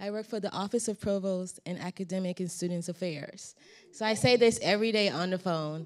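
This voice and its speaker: A woman speaks at a fairly quick pace with fairly even intonation and a medium pitch. Hers is an unremarkable speaking voice. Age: 40s. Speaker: university office staff. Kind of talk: self-introduction at staff meeting.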